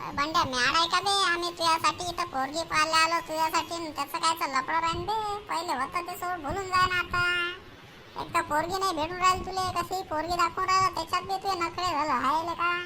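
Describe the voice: A woman puts on a cartoonish character voice at an extremely high pitch, with fairly even intonation at a moderate pace. Background noise is clearly audible.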